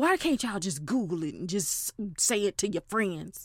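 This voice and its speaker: A bright, sharp-toned voice moves at a moderate pace with very wide pitch swings. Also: woman. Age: 40s. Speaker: podcast host. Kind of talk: casual monologue. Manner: loud; animated.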